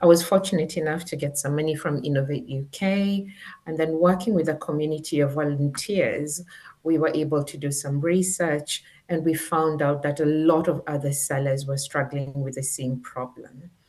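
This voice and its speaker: A woman in a Kenyan accent uses very deep, low pitch, a dark, mellow tone and fairly even intonation. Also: moderate pace. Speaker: former teacher and education tech founder. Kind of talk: interview. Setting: live stream.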